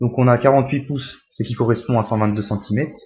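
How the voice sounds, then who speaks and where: Somewhat breathy, a man speaks at a fairly quick pace and medium pitch in a monotone, flat intonation. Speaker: tech youtuber. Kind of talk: tutorial. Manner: fast.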